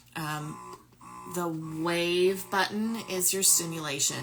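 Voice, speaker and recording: A woman speaks very slowly at a fairly low pitch with ordinary pitch variation, over noticeable background noise. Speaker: lactation consultant and speech pathologist. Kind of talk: product review tutorial. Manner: loud.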